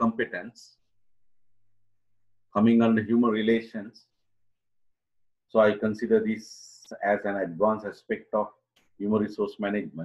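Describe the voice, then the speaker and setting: It is a man's voice. Little or no sound comes from behind him. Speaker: university lecturer. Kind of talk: lecture. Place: home room. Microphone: webcam.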